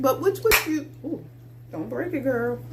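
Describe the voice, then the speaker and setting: The woman's tone is animated. Her voice has an audible room echo. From Baltimore, with summers in Mississippi. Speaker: candle maker and small business owner. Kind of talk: casual video tutorial. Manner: chatty, animated.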